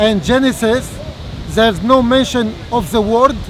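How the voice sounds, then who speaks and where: A man speaks at a fairly slow pace in a dry sound with no echo, with noticeable background noise. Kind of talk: formal debate. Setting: outdoors. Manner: halting. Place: open country.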